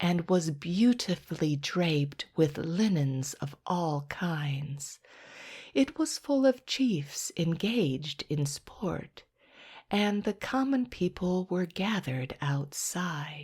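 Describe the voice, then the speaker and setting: A woman uses a put-on character voice, breathy and fairly low in pitch, with lively intonation. She talks at a very slow pace in a very clean recording with a silent background. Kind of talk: bedtime story. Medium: read story. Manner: slow, soothing.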